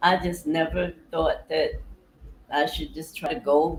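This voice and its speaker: A woman is speaking. Her pace is very slow. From New York City (Harlem/Bronx). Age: 60s. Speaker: vlogger. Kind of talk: casual monologue. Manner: relaxed, rambling with fillers.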